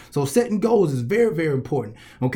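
Here a man speaks with a Southern US accent. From US South, Columbus, Georgia. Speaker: motivational speaker and coach. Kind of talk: motivational speech.

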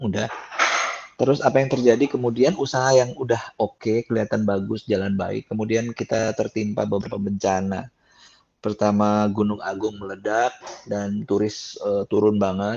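Fairly even intonation and a moderate pace in an ordinary speaking voice. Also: man, fairly low pitch for a man. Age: 50s. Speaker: gospel singer and songwriter. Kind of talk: testimony. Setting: video call.

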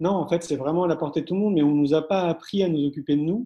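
Talking at a very fast pace, a man has a fairly high pitch, a dark, mellow tone and fairly even intonation. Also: quiet background. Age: 40s. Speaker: entrepreneur and education event organizer. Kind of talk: interview. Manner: halting.

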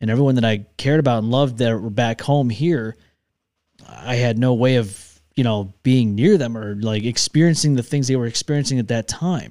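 A man's medium-pitched voice with an American accent, a dark, mellow tone, ordinary pitch variation and a moderate pace, on a very clean recording with a silent background. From Upstate New York (Rochester). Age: 30s. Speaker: podcast host. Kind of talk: casual chat. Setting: studio.

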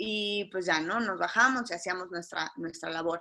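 Her tone is bright and sharp. The voice belongs to a woman. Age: 30s. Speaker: marketing agency owner and shipwreck survivor. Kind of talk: testimony.

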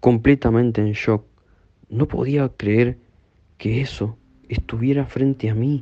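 Very slowly, a man speaks in a dark, mellow tone of medium pitch, with monotone, flat intonation. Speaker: horror story narrator. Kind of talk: ghost story telling, first-person narration of a haunting, hushed and suspenseful. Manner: slow, hushed and tense, building dread.

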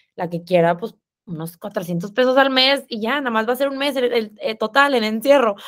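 A woman with a northern Mexican accent, lively intonation and a moderate pace, on a very clean recording with a silent background. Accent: northern Mexican sing-song. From Mexico, Monterrey. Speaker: fitness influencer and app founder. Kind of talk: casual interview chat.

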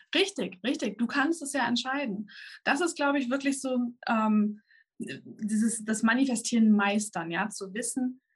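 Somewhat breathy, a woman talks at a moderate pace. Her pitch is fairly high, with ordinary pitch variation. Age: 30s. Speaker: manifestation coach and YouTuber. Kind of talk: interview. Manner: halting.

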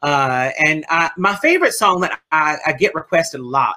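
With a New Orleans accent, a woman speaks fairly slowly in a bright, sharp tone at a very deep, low pitch, using lively intonation. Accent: US Southern, New Orleans. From New Orleans, Louisiana. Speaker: drag performer and bingo host. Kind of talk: casual interview. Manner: animated.

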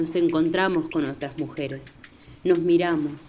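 A woman with a fairly low pitch speaks while noticeable background noise plays behind her. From Entre Ríos, Argentina. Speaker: podcast narrator. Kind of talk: scripted narration.

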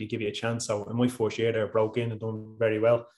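With an Irish accent, a man speaks at a medium pitch. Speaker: professional footballer. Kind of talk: casual interview chat.

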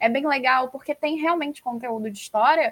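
A woman talks at a fairly quick pace with a high pitch and ordinary pitch variation. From Rio de Janeiro. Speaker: podcast host, former teacher. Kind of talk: interview.

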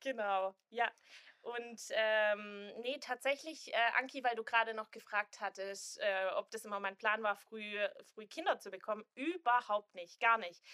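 In a Swabian accent, a woman with a fairly high pitch and a bright, sharp tone speaks at a fairly slow pace. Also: ordinary pitch variation, big swings in loudness. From Swabia, southern Germany. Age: 20s. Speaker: influencer and student, expectant mother. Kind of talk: casual chat.

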